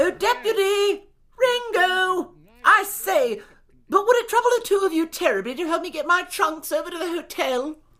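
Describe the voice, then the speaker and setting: In a put-on character voice, a man speaks at an extremely high pitch and a moderate pace. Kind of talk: comic radio drama. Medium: audio drama. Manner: genteel, formal, effusive.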